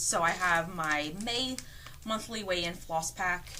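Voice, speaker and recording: A woman speaks at a fairly slow pace with ordinary pitch variation, amid audible room echo and noticeable background noise. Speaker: cross stitcher and quilter vlogger. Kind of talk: casual show-and-tell vlog. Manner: halting, with fillers.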